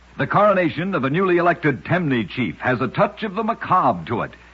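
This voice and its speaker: Fairly quick and fairly high-pitched, a man's voice carries vocal fry and very wide pitch swings. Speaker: radio narrator. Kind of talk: old-time radio one-minute story narration.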